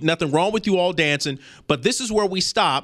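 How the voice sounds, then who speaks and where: A raised, projected voice carries a passionate tone and lively intonation at a moderate pace, in a very clean recording with a silent background. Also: man. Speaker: podcast host. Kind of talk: opinionated solo podcast monologue, ending in an angry rant about parenting. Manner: passionate, scolding, emphatic; direct, urgent, lecturing.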